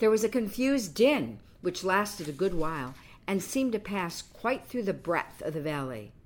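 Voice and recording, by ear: The intonation rises and falls in a lively way. This is reading aloud in a natural voice.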